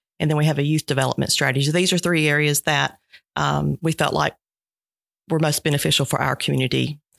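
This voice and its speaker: Very fast delivery in a Georgia accent on a very clean recording with a silent background. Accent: Southern American (Georgia). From US South, southwest Georgia. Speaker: nonprofit director. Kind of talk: interview.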